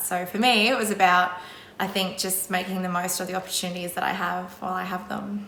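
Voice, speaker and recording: With an Australian accent, a woman of medium pitch speaks at a moderate pace amid noticeable background noise and audible room echo. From Australia, Brisbane. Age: 30s. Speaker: secondary school drama teacher. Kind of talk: interview monologue. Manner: casual, with frequent fillers.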